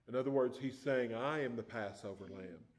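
A man at a moderate pace in a quiet background. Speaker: preacher. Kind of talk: sermon. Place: church. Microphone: podium.

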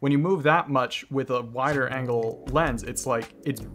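A man at a moderate pace with fairly even intonation, light background noise behind him. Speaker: filmmaker youtuber. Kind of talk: casual vlog commentary. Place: home room.

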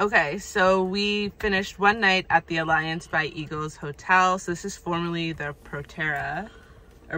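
A woman's fairly low, bright, sharp voice at a moderate pace with fairly even intonation. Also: dry sound with no echo. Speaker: travel vlogger. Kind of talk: casual vlog chat. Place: car. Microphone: phone near.

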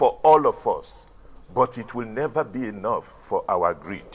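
Very slow speech from a man. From Nigeria. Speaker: TV talk show host. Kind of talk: TV studio interview. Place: studio.

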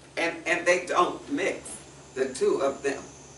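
A woman speaks at a very slow pace with audible room echo. Light background noise is present. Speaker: Sunday school teacher. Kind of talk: Bible study lesson. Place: church. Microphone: camera far.

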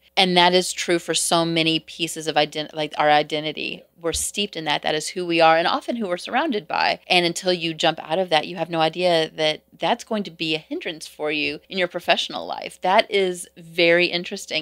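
A woman with a fairly low pitch and an ordinary speaking voice talks at a fairly quick pace with hardly any pauses. Her intonation is fairly even, though her loudness swings widely. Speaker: podcast co-host. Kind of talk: casual chat.

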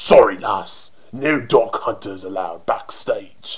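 A man adopts a put-on character voice and delivers his lines at a fairly slow pace. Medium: voice reel. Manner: cocky, flirtatious, mocking.

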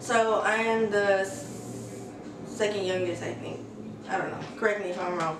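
Noticeable background noise sits behind a woman speaking at a moderate pace. She has an American accent. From US West Coast, San Francisco Bay Area (Redwood City). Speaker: YouTuber. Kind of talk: casual Q&A vlog. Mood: relaxed, candid. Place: home room.

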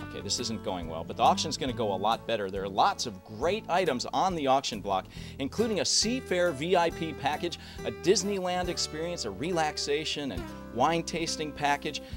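With clear music behind him, a man speaks at a fairly quick pace in an upbeat tone, his pitch swinging very widely. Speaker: auctioneer. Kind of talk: promotional event announcement. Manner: upbeat, jokey. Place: street. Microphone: handheld.

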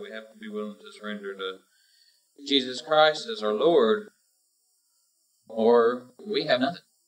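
A man talks at a fairly slow pace at a medium pitch, with very wide pitch swings. Music plays in the background. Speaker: preacher. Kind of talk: sermon.

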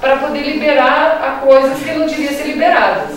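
A woman speaks at a moderate pace in a high pitch. Strong room echo surrounds her voice, with light background noise. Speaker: veterinarian. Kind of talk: panel discussion. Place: meeting room. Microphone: camera far.

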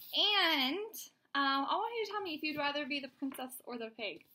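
Her voice is raised and projected. This woman's pitch rises and falls across a very wide range. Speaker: teacher reading to her class. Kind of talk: teacher talking to pupils. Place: home room. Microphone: webcam.

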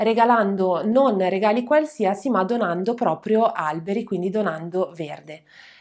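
Against a quiet background, a woman's pitch rises and falls in an ordinary way as she talks. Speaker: news presenter. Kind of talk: scripted-style newsreading of garden and green-city news, formal bulletin. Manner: formal, measured newsreader delivery, with frequent 'eh' hesitations. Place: studio.

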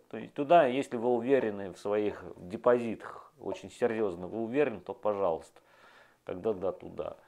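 This man's voice sits at a medium pitch and has a dark, mellow tone. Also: ordinary pitch variation, moderate pace, big swings in loudness. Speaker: video blogger. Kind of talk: monologue to camera. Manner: animated. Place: home room. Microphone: lapel.

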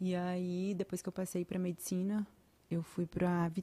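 Somewhat breathy with a dark, mellow tone, the voice holds a fairly even intonation at a moderate pace. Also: woman. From Bahia, Brazil (Vitória da Conquista, near Minas border); Bahia, Brazil. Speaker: podcast guest. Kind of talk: casual chat. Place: studio. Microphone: studio mic.

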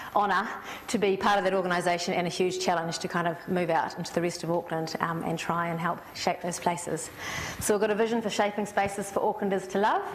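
A woman talking very fast with fairly even intonation over light background noise. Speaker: guest. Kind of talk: public talk. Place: classroom. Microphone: lapel.

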